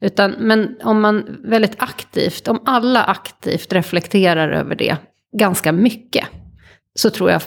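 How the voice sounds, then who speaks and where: A woman speaks in a normal speaking voice at medium pitch. Her pace is fairly slow, with ordinary pitch variation. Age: 40s. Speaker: futures consultant. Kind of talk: interview conversation. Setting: home kitchen studio.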